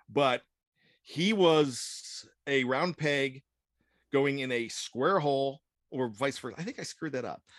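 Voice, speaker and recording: In a dry, close sound with no echo, a man with a plain, everyday voice speaks at a fairly slow pace, his fairly high pitch showing ordinary pitch variation. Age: 50s. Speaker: sports writer and podcast producer. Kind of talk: casual chat.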